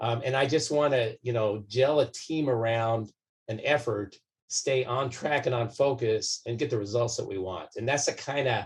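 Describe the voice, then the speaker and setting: Speaking at a moderate pace with an American accent, this man has a medium-pitched, somewhat breathy voice and ordinary pitch variation. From US West, southern California. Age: 60s. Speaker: doctor and political candidate. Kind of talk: interview. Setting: podcast recording. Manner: calm, measured.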